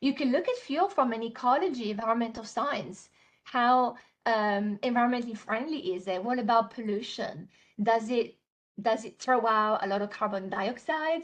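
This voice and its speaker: Someone with an Italian accent talks at a moderate pace with ordinary pitch variation. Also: woman, fairly high pitch for a woman. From Italy. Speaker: software trainer. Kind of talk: webinar tutorial. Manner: many fillers and hesitations.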